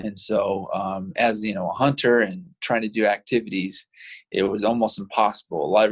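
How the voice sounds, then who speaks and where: A man with an unremarkable speaking voice and an American accent talks in a fairly low pitch with fairly even intonation. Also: moderate pace. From Utah (Provo). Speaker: adaptive athlete and hunter, motivational speaker. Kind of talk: casual interview.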